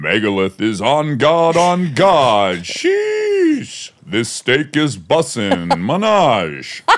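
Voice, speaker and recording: Putting on a character voice, a man talks in a fairly high register at a very slow pace. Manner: heroic voice saying slang.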